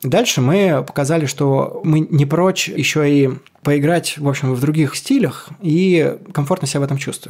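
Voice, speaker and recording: At a moderate pace, an ordinary speaking voice keeps fairly even intonation. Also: man, fairly high pitch for a man. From Kolomna, Moscow region. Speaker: rock singer. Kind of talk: casual chat.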